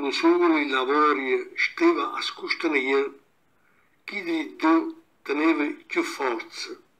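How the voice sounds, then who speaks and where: The speaker is a man. He has an Abruzzese accent. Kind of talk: fable reading in local dialect.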